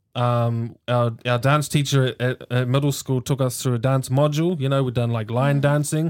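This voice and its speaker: In a New Zealand accent, the speaker keeps a moderate pace with hardly any pauses and fairly even intonation. Loudness stays very even in a very clean recording with a silent background. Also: man, medium pitch for a man. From New Zealand, Hamilton. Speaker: dancer and arts worker. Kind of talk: casual chat.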